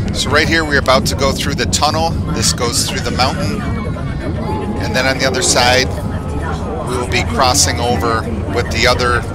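With crowd noise in the background, a man speaks at a moderate pace with long, frequent pauses, the sound dry with no echo. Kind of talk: casual travel vlog commentary. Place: train. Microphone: phone near.

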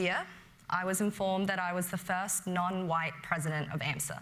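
A woman speaks with an Australian accent. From Western Sydney, Australia; New South Wales, Australia. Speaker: medical student leader. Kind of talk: prepared speech. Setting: stage with audience. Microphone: lapel.

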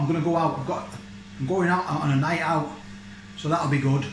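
A man speaks over light background noise. Room echo is audible. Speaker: vlogger. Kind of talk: casual vlog chat. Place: kitchen. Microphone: phone near.

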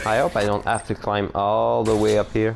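With music in the background, a man in a French Canadian accent speaks at a fairly slow pace in a fairly low pitch with fairly even intonation. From French Canada. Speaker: let's play gamer. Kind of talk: casual gameplay commentary.

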